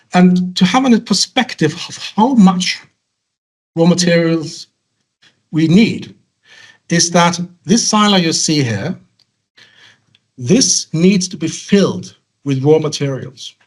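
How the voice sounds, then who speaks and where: Speaking at a very slow pace, a man uses a high pitch with ordinary pitch variation. Long pauses come often. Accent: Norwegian. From western Norway. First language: Norwegian. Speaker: salmon feed industry speaker. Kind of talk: conference presentation. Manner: halting.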